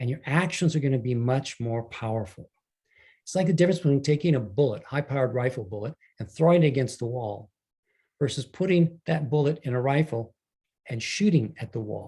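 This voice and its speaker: At a fairly quick pace, a man talks with a medium pitch, a dark, mellow tone, ordinary pitch variation and a somewhat breathy quality. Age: 70s. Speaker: leadership coach and author. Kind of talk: online talk to an audience.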